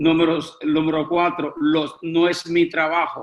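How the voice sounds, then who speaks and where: A man speaks at a fairly slow pace. His pitch sits fairly high. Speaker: preaching instructor. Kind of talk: lecture.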